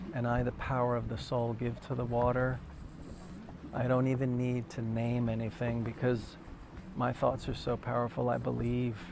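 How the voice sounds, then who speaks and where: A man with a New Jersey accent talks at a moderate pace in a flat, monotone way at medium pitch, leaving long, frequent pauses amid audible room echo. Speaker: meditation teacher. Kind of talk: guided meditation. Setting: live video stream. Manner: soft-spoken.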